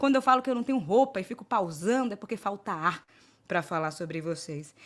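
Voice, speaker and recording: Fairly quick and animated, a woman's voice swings very widely in pitch. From Brazil, Salvador, Bahia. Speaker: panel moderator. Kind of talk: moderated panel talk.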